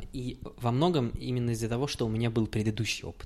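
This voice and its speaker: A man at medium pitch, with fairly even intonation and a moderate pace. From Kazakhstan. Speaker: podcast host. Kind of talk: casual chat.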